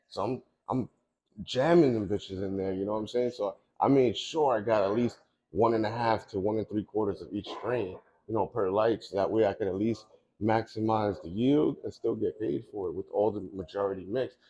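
Delivered at a fairly quick pace, the voice has a dark, mellow tone. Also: man, fairly low pitch for a man, ordinary pitch variation. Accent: New York. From Long Island, New York; New York. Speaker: cannabis grower; guest. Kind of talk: casual interview. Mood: relaxed, upbeat. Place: shop.

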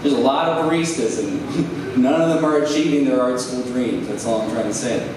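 A man speaks at a moderate pace in a medium pitch with ordinary pitch variation. Audible room echo surrounds him, along with clear background noise.

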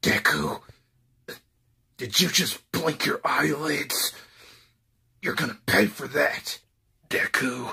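A man does a raspy put-on character voice at a fairly high pitch. He goes at a very slow pace, with long, frequent pauses. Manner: exaggerated angry, threatening.

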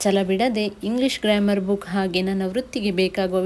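Her voice is dark and mellow in tone, a woman speaking at a medium pitch. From India, Mangalore area (coastal Karnataka). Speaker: vlogger. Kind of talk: reading aloud.

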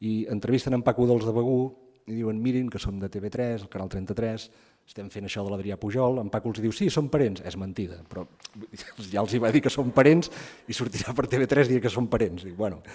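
The tone is dark and mellow. Pitch varies in an ordinary way at a moderate pace. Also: man. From Empordà, Catalonia (Begur); Catalonia. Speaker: writer and anthropologist. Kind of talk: book presentation talk. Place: hall.

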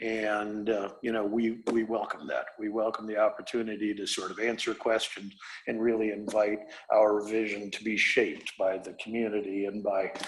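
A man with an American accent, fairly low in pitch, monotone and flat at a moderate pace, with audible room echo. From Iowa. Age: 60s. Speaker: real estate developer. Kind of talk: presentation to city council. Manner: halting, many fillers.

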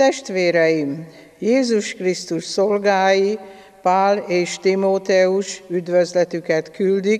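The pace is very slow as a woman talks. Her pitch shows ordinary variation. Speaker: lay scripture reader. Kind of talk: liturgical reading. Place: church.

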